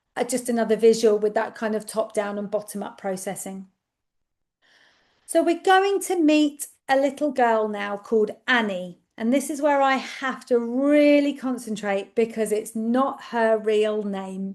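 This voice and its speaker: A woman with an English accent speaks at a fairly slow pace with a fairly high pitch. Her pitch variation is ordinary, and the background is quiet. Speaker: speech and language therapist. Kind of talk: webinar presentation. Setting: online webinar. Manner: loud.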